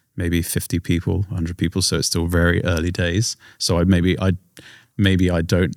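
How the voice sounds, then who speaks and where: A man with a very deep, low voice and an English accent, at a fairly quick pace, on a very clean recording with a silent background. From England. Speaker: singer-songwriter. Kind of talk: podcast interview. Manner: trailing off, hesitant with fillers.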